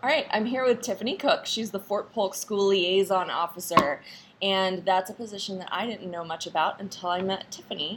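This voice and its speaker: A woman with an unremarkable speaking voice at a medium pitch. She talks at a fairly quick pace with ordinary pitch variation. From North Carolina. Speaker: podcast host, army spouse. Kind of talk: interview.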